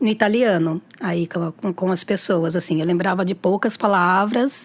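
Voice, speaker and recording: Moderately paced female speech, its pitch moving in an ordinary way. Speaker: teacher and tarot reader. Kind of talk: casual chat. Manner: halting, many repetitions.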